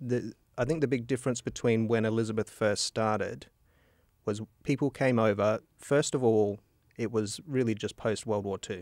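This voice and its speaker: In an Australian accent, a man of medium pitch talks at a moderate pace with fairly even intonation, the sound dry and echo-free and the background quiet. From Australia, northern Adelaide. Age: 50s. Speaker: podcast host. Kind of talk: casual interview. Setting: studio. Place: studio. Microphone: studio mic.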